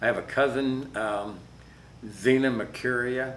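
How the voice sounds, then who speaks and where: A man with an American accent speaks with fairly even intonation. The room echo is audible. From US South (south Georgia). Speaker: interviewee, Air Force veteran. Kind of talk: oral history interview.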